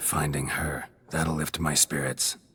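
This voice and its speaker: A man speaks in a put-on character voice with a very deep, low pitch. It is raspy and comes at a fairly slow pace. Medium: machinima. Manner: terse, gruff.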